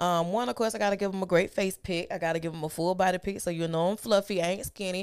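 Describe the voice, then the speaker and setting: With hardly any pauses, a woman speaks at a very fast pace. Her pitch is medium and her intonation fairly even. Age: 30s. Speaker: podcast co-host. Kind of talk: casual banter, profane. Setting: studio.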